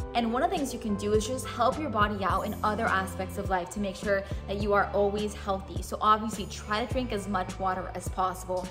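A woman talks with hardly any pauses. Clear music plays in the background. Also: fairly quick pace. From Miami. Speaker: TV news anchor. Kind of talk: casual talk to camera. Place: studio.

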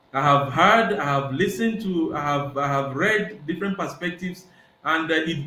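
With audible room echo, a man speaks at a moderate pace in a fairly bright tone.

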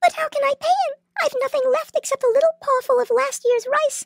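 A put-on character voice, extremely high in pitch, at a fairly quick pace. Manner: fearful, self-pitying.

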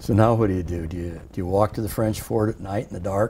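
With a Midwestern US accent, a man talks at a fairly quick pace, his fairly low pitch held in fairly even intonation over light background noise. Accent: US Midwest. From Iowa. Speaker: war veteran. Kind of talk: oral history interview. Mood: reflective, sometimes amused. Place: studio. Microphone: lapel.

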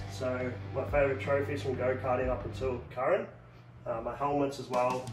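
Over clear background music, a man talks at a moderate pace. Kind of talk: casual vlog chat. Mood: relaxed, upbeat. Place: home room. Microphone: phone near.

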